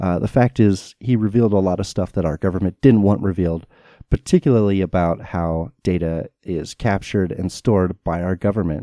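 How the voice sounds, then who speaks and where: A man with an American accent and a very deep, low pitch, dark and mellow in tone, fairly even in intonation, at a fairly quick pace, dry and close with no echo against a quiet background. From United States. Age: 30s. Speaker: podcast host. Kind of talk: solo podcast monologue.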